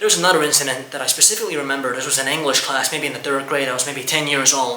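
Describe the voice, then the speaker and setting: A man with an Estonian accent speaks at a fairly high pitch. Room echo is audible, and background noise is noticeable. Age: 20s. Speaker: YouTuber. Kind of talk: personal testimony. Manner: halting.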